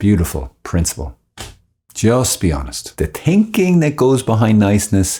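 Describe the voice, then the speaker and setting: In an Irish accent, a man with a fairly low pitch and a dark, mellow, somewhat breathy tone makes very wide pitch swings, on a very clean recording with a silent background. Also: moderate pace. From Ireland. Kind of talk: informal religious talk. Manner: animated.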